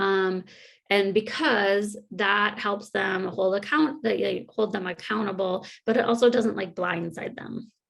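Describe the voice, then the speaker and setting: A plain, everyday voice from a woman, pitch moving in a normal way. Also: medium pitch for a woman, fairly slow pace. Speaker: workshop presenter on committee meetings. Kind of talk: virtual conference workshop. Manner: casual, many fillers.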